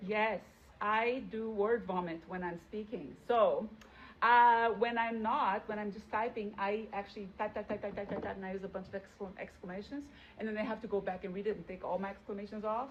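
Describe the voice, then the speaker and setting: A woman talks at a fairly quick pace with a non-native accent. Her pitch is fairly high. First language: not English. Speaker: teacher. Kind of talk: interview. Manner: animated; hesitant fillers.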